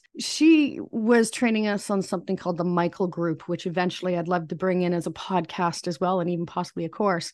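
A woman with a fairly low pitch talks at a fairly quick pace with hardly any pauses. It is a plain, everyday voice, set against a quiet background. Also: ordinary pitch variation. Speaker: psychic medium and spiritual coach. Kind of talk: casual podcast interview about personal journey.

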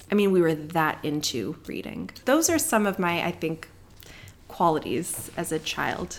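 Vocal fry runs through a woman's speech as she talks at a fairly slow pace with ordinary pitch variation. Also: fairly low pitch for a woman. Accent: American. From Southern California (Palos Verdes). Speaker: dermatologist. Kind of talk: interview.

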